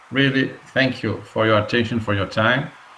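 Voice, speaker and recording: The voice moves at a fairly slow pace with fairly even intonation, and audible room echo surrounds it. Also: man. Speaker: webinar host. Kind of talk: webinar interview. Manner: halting.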